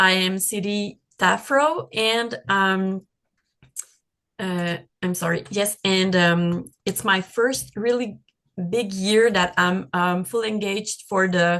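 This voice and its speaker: A woman's very slow speech in a French Canadian accent, bright and sharp in tone, with ordinary pitch variation. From Quebec. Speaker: patient advocate. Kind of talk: casual sharing in video meeting. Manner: halting, many fillers.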